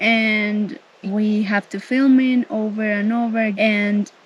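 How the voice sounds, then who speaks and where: A woman with a Spanish accent and a fairly high pitch. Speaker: travel vlogger. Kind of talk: casual chat.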